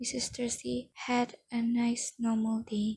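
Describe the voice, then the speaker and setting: A soft-spoken woman has a fairly high voice with a dark, mellow tone. Her intonation is monotone and flat. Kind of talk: audiobook-style reading of a novel aloud. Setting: home recording with added ambient background noises. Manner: soft-spoken, quiet.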